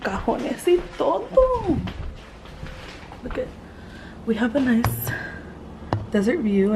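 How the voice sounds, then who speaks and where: Amid noticeable background noise, a woman talks at a fairly slow pace with long, frequent pauses. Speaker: vlogger. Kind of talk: casual vlog narration. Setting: vacation house. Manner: whispering.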